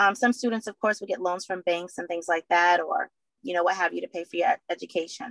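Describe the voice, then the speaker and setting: A woman with an American accent speaks fairly quickly at medium pitch in an ordinary speaking voice, with ordinary pitch variation and a dry, close sound with no echo. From Boston, Massachusetts. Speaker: former prisoner and advocate for at-risk women. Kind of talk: interview.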